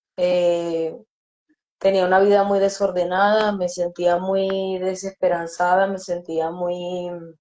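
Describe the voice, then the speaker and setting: Her intonation stays monotone and flat. This woman delivers her words very slowly. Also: medium pitch for a woman. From Venezuela, Yaracuy state. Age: 30s. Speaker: recovered drug user. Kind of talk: testimony. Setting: online live stream.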